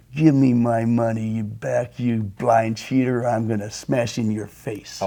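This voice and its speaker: Putting on a hissing character voice, a man speaks at medium pitch and a moderate pace in a flat, monotone delivery. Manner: hissing, menacing.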